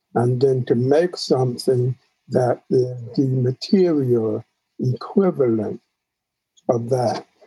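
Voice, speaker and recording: Very slowly, with long, frequent pauses, a man speaks at a very even loudness in a dark, mellow, somewhat breathy tone with ordinary pitch variation. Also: medium pitch for a man, dry, close sound with no echo. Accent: American. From New York (Queens). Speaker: photographer. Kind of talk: interview.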